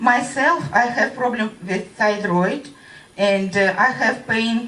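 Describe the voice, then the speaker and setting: Speaking at a very slow pace with a Russian accent, a woman uses a medium pitch and ordinary pitch variation, with audible room echo and noticeable background noise. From Russia (Voronezh). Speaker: radiation-affected witness. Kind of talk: testimony. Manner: halting.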